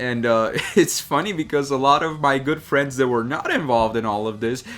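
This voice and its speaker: With noticeable background noise behind him, a man talks. His pace is moderate and his pitch variation ordinary. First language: not English. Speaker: drawing YouTuber. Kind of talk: unscripted casual talk while drawing. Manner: hesitant, many fillers.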